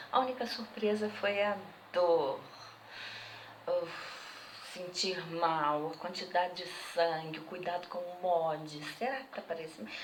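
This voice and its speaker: A woman's fairly low voice at a fairly slow pace, with ordinary pitch variation, long and frequent pauses, audible room echo and noticeable background noise. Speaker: interviewee. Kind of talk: testimony.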